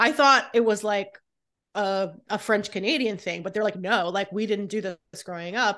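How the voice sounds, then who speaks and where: Against a quiet background, a woman with an American accent speaks at a moderate pace and medium pitch, with a bright, sharp tone and ordinary pitch variation. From California and North Carolina, US. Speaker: food writer. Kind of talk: casual chat.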